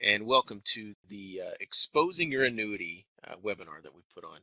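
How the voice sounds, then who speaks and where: Recorded with a dry, close sound and no echo, a man with an American accent speaks at a moderate pace. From Texas. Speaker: wealth manager. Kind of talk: webinar presentation. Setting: office, live webinar broadcast.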